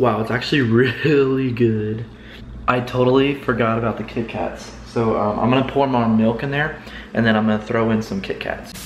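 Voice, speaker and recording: There is audible room echo and light background noise as a man speaks. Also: fairly even intonation, moderate pace. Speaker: vlogger. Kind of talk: casual vlog chat. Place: kitchen. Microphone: phone near.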